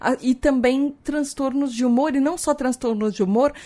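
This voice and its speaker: A woman talks in an animated tone. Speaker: podcast host. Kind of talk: educational podcast monologue.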